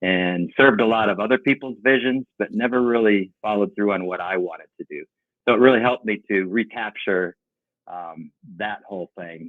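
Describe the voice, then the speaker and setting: In a plain, everyday voice, a man talks at a moderate pace and a fairly low pitch, with ordinary pitch variation and big swings in loudness. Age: 60s. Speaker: painting company owner. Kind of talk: podcast interview.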